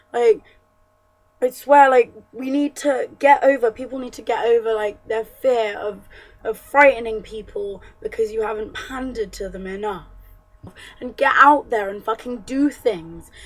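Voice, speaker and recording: A woman's high-pitched voice at a moderate pace, with ordinary pitch variation and music in the background. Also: big swings in loudness. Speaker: feminist vlogger. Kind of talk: casual talk to camera.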